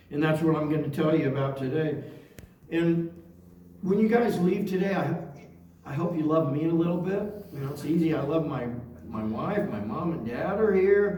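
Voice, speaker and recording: A man with an American accent talks at a moderate pace, fairly high in pitch with ordinary pitch variation. There are long, frequent pauses and audible room echo. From Oregon, US Pacific Northwest. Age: 60s. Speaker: near-death experience speaker. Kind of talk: testimony.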